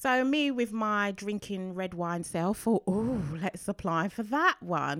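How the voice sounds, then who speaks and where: In a very clean recording with a silent background, a woman speaks at medium pitch and a very slow pace. Her intonation is lively, and the sound is dry and close with no echo. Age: 40s. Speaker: podcast co-host, runner and mother. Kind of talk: casual chat. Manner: laughing often.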